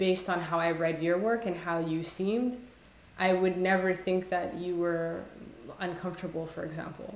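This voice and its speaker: A woman with a Somali accent and a fairly low pitch speaks with fairly even intonation, with audible room echo and noticeable background noise. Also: moderate pace. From Somalia. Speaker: poet. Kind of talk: casual conversation interview. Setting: video call. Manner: halting, many fillers.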